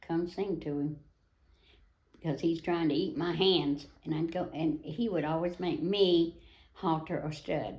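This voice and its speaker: With a Tennessee accent, a woman speaks at a fairly slow pace and fairly low pitch, her intonation fairly even. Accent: Southern US (Tennessee). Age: 80s+. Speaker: retired wild horse adopter, rancher. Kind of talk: interview. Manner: halting.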